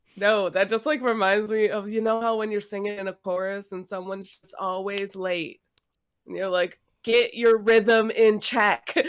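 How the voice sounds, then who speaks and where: With an unremarkable speaking voice, a woman talks at a moderate pace and medium pitch, her intonation fairly even but her loudness swinging widely. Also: very clean recording, silent background. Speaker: podcast co-host and singer. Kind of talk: casual chat.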